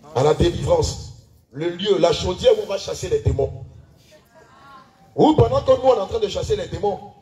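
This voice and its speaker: Against noticeable background noise, a man speaks in an animated tone at a moderate pace, leaving long, frequent pauses. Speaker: pastor leading church service. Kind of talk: sermon. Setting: church.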